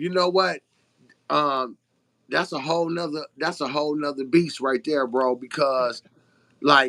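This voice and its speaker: With a New Orleans accent, a man speaks in a fairly high pitch with a bright, sharp tone and ordinary pitch variation, recorded dry and close with no echo. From Detroit, Michigan. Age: 50s. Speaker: truck owner-operator and author. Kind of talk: interview. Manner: halting.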